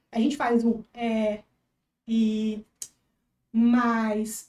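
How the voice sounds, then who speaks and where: Dark, mellow tone in a woman's voice, pitched fairly high. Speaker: veterinarian and social media creator. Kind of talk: podcast interview. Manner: fast; animated.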